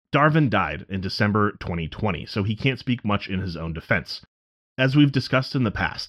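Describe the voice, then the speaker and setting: A plain, everyday voice moves at a moderate pace with lively intonation over a quiet background. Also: man. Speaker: podcast co-producer and narrator. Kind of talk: true-crime narration. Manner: measured, factual, serious.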